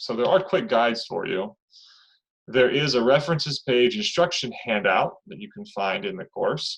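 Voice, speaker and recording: The voice moves through very wide pitch swings and big swings in loudness. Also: man, fairly high pitch for a man. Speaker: college instructor. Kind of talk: online class lecture. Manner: fast.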